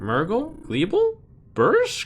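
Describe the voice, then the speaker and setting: Pitched extremely high, a man puts on a character voice. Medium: game stream. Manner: gurgling gibberish.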